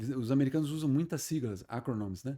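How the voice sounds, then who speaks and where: Very fast speech with very wide pitch swings and a dark, mellow tone, on a very clean recording with a silent background. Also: man. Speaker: retired army colonel. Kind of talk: podcast interview. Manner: repeats filler 'né'.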